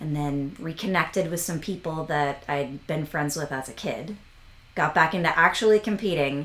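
The intonation rises and falls in a lively way. It is a plain, everyday voice. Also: woman. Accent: American. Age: 40s. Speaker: equestrian vaulting coach. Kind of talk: casual interview.

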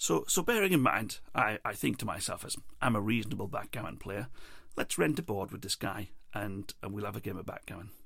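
In a very clean recording with a silent background, a man with an English accent talks at a fairly quick pace, his fairly low voice bright and sharp in tone with lively intonation. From England. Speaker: podcast host. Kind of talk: personal storytelling monologue. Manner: hesitant, many fillers and repeats.

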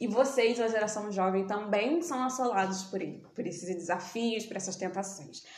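A woman's speech moves at a moderate pace, with noticeable background noise and audible room echo around it. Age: 20s. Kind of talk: casual chat.

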